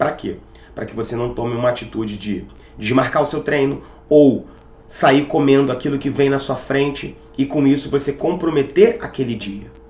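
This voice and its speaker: Noticeable background noise sits behind the recording. A man speaks at a moderate pace with a fairly high pitch. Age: 30s. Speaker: fitness coach. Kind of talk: motivational talk.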